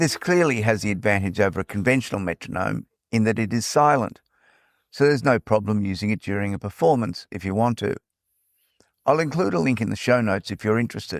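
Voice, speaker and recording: In a very clean recording with a silent background and a dry, close sound with no echo, a man with a fairly low pitch and an Australian accent talks very fast with lively intonation. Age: old. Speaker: podcast host. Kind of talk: podcast narration. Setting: portable recording.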